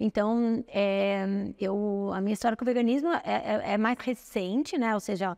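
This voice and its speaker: On a very clean recording with a silent background, a woman with an unremarkable speaking voice talks fairly slowly at a fairly high pitch, with ordinary pitch variation and very even loudness. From Brazil, São Paulo. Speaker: nutritionist. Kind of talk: interview.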